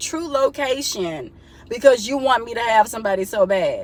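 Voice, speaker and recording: Over noticeable background noise, a woman talks in an animated tone at a high pitch, with ordinary pitch variation and a moderate pace. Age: 30s. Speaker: vlogger. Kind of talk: casual vent to camera.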